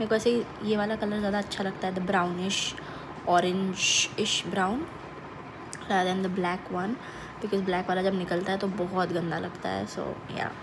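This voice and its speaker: Amid noticeable background noise and audible room echo, a woman at medium pitch speaks in a monotone, flat way at a moderate pace with long, frequent pauses. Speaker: vlogger. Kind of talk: casual vlog talk. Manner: code-switching Hindi and English.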